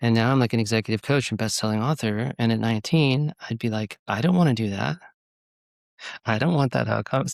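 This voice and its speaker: On a very clean recording with a silent background and a dry, close sound with no echo, a man with a Californian accent speaks at a fairly quick pace and medium pitch with ordinary pitch variation. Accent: Californian American. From California (Goleta, near Santa Barbara). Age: 40s. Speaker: executive coach and author. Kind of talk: podcast interview.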